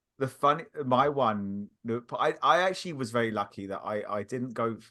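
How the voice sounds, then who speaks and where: A man's bright, sharp tone at a medium pitch and moderate pace, with ordinary pitch variation and a slight British accent. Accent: subtle British. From England. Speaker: podcaster. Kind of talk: casual chat. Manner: halting.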